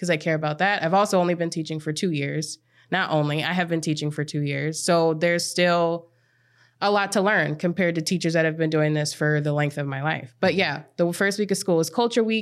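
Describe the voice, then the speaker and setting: An ordinary speaking voice from a woman with an American accent, fairly low in pitch, fairly quick and fairly even in intonation, on a very clean recording with a silent background. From Minnesota, US Midwest. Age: 20s. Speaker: Spanish teacher. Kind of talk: casual chat.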